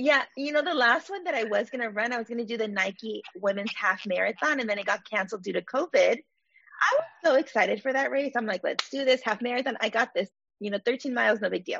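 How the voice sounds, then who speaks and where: With lively intonation and hardly any pauses, a woman speaks at a fairly quick pace and a fairly high pitch. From Los Angeles (Baldwin Park), California. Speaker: therapist podcast host. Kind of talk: casual interview.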